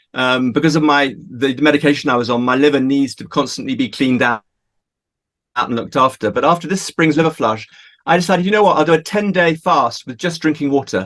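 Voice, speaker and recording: Very rapid speech from a man, fairly high in pitch, its pitch variation ordinary. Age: 60s. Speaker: water revitalisation advocate. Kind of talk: personal testimony in interview. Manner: halting, repeats words.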